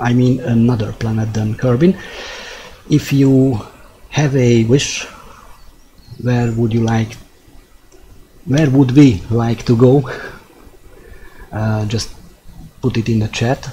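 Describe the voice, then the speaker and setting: Speaking with a Hungarian accent, a man with a medium pitch talks at a very slow pace, with fairly even intonation and long, frequent pauses. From Hungary. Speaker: gaming streamer. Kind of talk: live gameplay commentary. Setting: live stream. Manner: halting.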